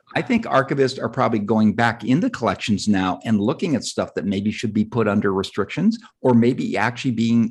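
A man with an American accent talks at a fairly quick pace with hardly any pauses, at a medium pitch. His pitch varies in an ordinary way, and the background is quiet. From Southern California. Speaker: novelist and screenwriter. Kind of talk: interview conversation.

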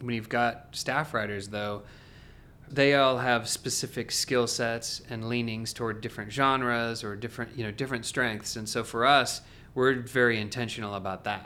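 In an American accent, a man talks at a moderate pace with monotone, flat intonation and a bright, sharp tone. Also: medium pitch for a man. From Oregon, US Pacific Northwest. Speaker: music publishing executive. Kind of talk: interview conversation.

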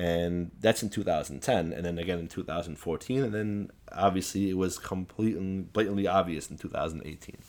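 A man's very deep, low voice with a Chicago accent, ordinary pitch variation, hardly any pauses and a fairly quick pace. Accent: Chicago American. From US Midwest (Chicago, Assyrian community). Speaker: political activist. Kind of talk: interview.

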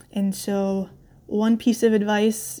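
A woman with a medium-pitched, somewhat breathy voice speaks in a dark, mellow tone with monotone, flat intonation. The recording is very clean, with a silent background. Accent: American. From upstate New York, US. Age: 30s. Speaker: endurance rider. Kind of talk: recorded personal story.

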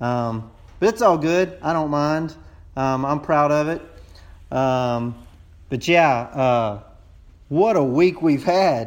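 A very slow delivery with a Texas accent and long, frequent pauses. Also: man, fairly high pitch for a man, lively intonation. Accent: Texas drawl. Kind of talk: voicemail message.

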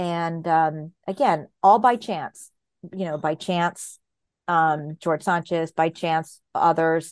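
A woman with an American accent, a fairly low pitch and ordinary pitch variation at a very slow pace, in a dry, close sound with no echo against a quiet background. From Southern California. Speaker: historian. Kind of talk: interview.

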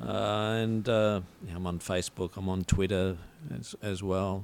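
An Australian-accented man. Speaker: writer and poet. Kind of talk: casual chat. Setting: studio.

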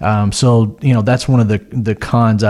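With an American accent, a man talks in a fairly low pitch, his dark, mellow tone held to fairly even intonation. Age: 40s. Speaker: financial advisor. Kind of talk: casual chat.

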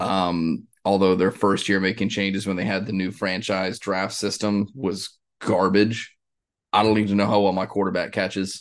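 A man at a moderate pace, flat and monotone. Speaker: sports podcast host. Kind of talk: casual chat.

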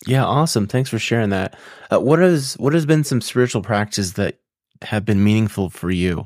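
A man speaks at a fairly quick pace in a normal speaking voice, his medium pitch carried by lively intonation. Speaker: podcast host. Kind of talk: interview conversation. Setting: video call with guest abroad.

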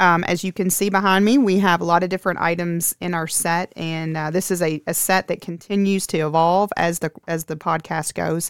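On a very clean recording with a silent background and dry, close sound with no echo, a woman with a fairly low pitch talks at a moderate pace with hardly any pauses and fairly even intonation, in an unremarkable speaking voice. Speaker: school president and podcast host. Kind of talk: casual interview.

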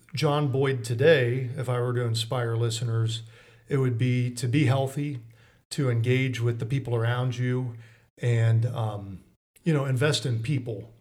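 A man with an American accent talks at medium pitch and a moderate pace, somewhat breathy with fairly even intonation, in audible room echo. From Mansfield, Ohio. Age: 30s. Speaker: attorney. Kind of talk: interview.

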